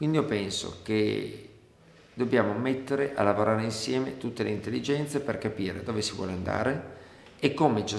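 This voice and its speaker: Room echo is audible as a man talks. His pace is moderate and his pitch varies in an ordinary way. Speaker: candidate. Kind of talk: interview answer. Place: office.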